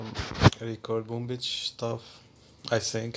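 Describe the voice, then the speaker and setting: Against noticeable background noise, a man talks with a non-native accent. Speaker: gaming YouTuber. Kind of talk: casual vlog to viewers. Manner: halting; giggly.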